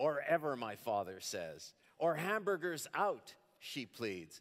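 Male voice with a quiet background. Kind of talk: lecture with reading aloud. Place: stage. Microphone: headset.

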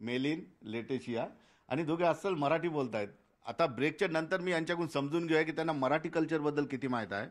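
A man with a fairly high pitch and ordinary pitch variation, an unremarkable speaking voice, on a very clean recording with a silent background. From Aurangabad, Maharashtra, India. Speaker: TV news reporter. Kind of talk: field report and interview.

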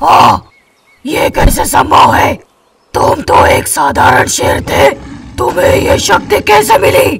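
Using a put-on character voice, a man sounds raspy and extremely high-pitched at a fairly slow pace. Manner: arrogant, then disbelieving.

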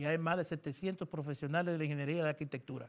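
Quiet surroundings behind a male voice. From Dominican Republic, Santiago de los Caballeros; Dominican Republic. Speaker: government engineering official; interviewee. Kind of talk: interview. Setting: radio studio. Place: studio. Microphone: lapel.

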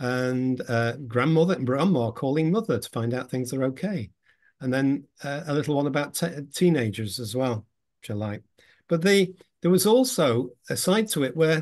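A man talks with lively intonation against a quiet background. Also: moderate pace. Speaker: presenter. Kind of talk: lecture. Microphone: video call.

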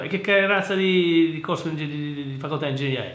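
A man talks at a fairly quick pace. There is audible echo from the room. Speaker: engineer and educational youtuber; private tutor. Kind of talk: casual commentary reading listener mail. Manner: halting, repetitive. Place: office. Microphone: webcam.

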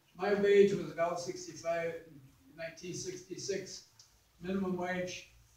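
A man with a high pitch and monotone, flat intonation, amid audible room echo. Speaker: congressional candidate; candidate. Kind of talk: candidate forum answers and stump-style speech. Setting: candidate forum with moderator questions. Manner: impassioned, fervent. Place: meeting room. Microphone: camera far.

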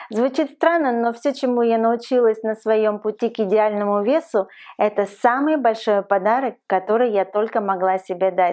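Over a quiet background, a woman with a fairly high pitch and a dark, mellow tone keeps her loudness very even. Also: ordinary pitch variation, moderate pace. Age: 40s. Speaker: lifestyle vlogger. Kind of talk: advice vlog monologue. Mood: warm, encouraging. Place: home room.

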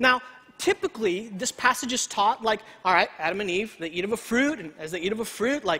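The speech moves at a fairly quick pace, with a bright, sharp tone. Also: man, high pitch for a man, lively intonation.

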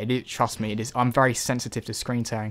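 A man is talking. His pace is moderate. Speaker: video game youtuber. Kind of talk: angry rant about PC game releases, ranting and venting to camera. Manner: indignant, fired up, pressing emphatic points.

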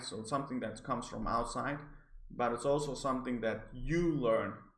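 A man's medium-pitched voice with vocal fry, fairly even intonation and a moderate pace. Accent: non-native. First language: not English. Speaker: psychology graduate. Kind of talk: article review to camera. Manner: hesitant, stammering.

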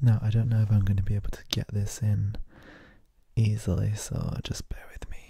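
In a soft-spoken, somewhat breathy whisper, a man speaks at a fairly quick pace against a quiet background, with a dry sound and no echo. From UK. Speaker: ASMR creator. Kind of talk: casual talk to camera, ASMR show and tell. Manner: soft-spoken, whispering. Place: home room. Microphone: handheld.

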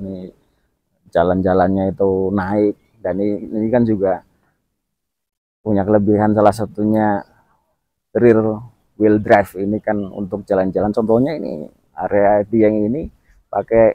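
A man's fairly low voice with fairly even intonation, a moderate pace and long, frequent pauses, in a dry sound with no echo and a quiet background. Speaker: product reviewer. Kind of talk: casual vlog chat. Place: open country.

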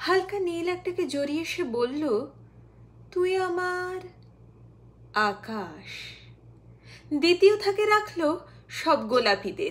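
A woman's extremely high-pitched voice with lively intonation. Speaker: poetry reciter. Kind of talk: poetry reading. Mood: expressive, dramatic delivery. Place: waterside.

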